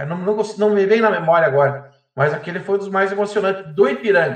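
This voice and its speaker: A man speaks at a fairly quick pace with a high pitch. His pitch varies in an ordinary way. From Erechim, Rio Grande do Sul, Brazil. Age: 40s. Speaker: baker and football fan. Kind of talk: casual chat.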